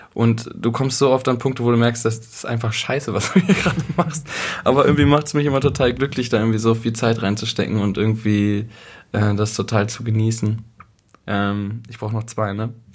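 At a fairly quick pace, a man speaks in an ordinary speaking voice with a medium pitch and ordinary pitch variation. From East Westphalia, Germany. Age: 20s. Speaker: musician. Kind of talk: casual chat. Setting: kitchen table at host's home.

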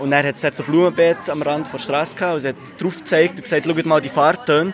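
There is noticeable background noise behind a man with a fairly high pitch. He talks very fast with fairly even intonation. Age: 20s. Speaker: philosophy student, workshop participant. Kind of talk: interview.

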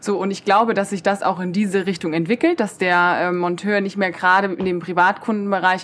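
A woman's medium-pitched voice at a moderate pace. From Germany, Koblenz. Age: 20s. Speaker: podcaster and student from a trades family business. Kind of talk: casual interview chat. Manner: hesitant fillers (ähm, äh).

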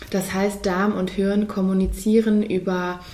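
Very slow and somewhat breathy, a woman's dark, mellow voice carries audible room echo. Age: 30s. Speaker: physician. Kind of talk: interview.

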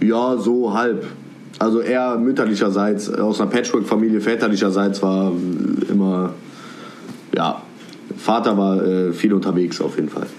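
A man's fairly low voice at a moderate pace, with fairly even intonation, long, frequent pauses, audible room echo and noticeable background noise. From Cologne, Germany. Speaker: rapper. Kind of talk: casual interview chat. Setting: video call from home.

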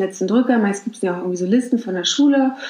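Speaking at a very fast pace, a woman with a fairly high pitch uses ordinary pitch variation. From Mecklenburg-Vorpommern, Germany. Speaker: podcast host. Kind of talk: casual advice monologue. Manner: conversational, with fillers.

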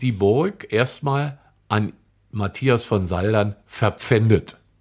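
This is a man speaking at a very slow pace. His intonation is lively. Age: 60s. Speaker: tour guide and local historian. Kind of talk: casual interview about local history.

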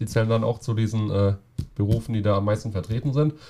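A man speaks with a dark, mellow tone. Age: 20s. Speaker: carpenter and roofer going on journeyman travels. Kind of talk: casual interview.

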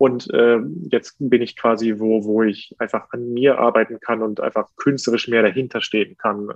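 With a medium-pitched voice, a man talks at a moderate speed. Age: 30s. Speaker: opera and concert singer. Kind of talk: interview. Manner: hesitant, many fillers.

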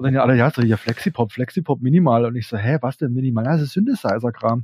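A man talks at a very fast pace in a somewhat breathy voice with a dark, mellow tone. The sound is dry and close, with no echo. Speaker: electropunk musician. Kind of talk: interview. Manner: casual, hesitant with many fillers.

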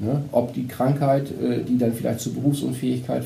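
A man is speaking in a room with audible echo. Noticeable background noise is present. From northern Germany, Vechta district (Lower Saxony). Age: 50s. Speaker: insurance advisor. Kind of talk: podcast interview.

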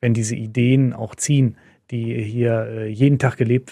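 On a very clean recording with a silent background, a man with a medium pitch speaks in a dark, mellow tone and a monotone, flat intonation. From Lower Rhine, western Germany (Moers). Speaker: sponsor representative, former journalist. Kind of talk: casual interview.

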